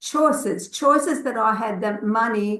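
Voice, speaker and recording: The speaker has a non-native accent and lively intonation, moving at a fairly slow pace. Room echo is audible. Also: woman. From grew up abroad, moved to Australia as a child. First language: not English. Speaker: network marketing consultant. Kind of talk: personal testimony in an online session. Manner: halting, many fillers.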